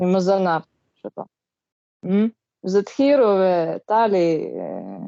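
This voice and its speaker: At a very slow pace with long, frequent pauses, a woman speaks at a medium pitch with ordinary pitch variation. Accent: Russian. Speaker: study group participant. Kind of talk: group study discussion. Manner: halting.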